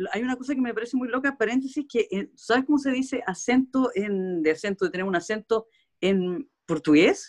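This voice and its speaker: A woman with a Chilean accent talks at a fairly quick pace in a high pitch with very wide pitch swings. The sound is dry and close with no echo. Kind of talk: casual chat.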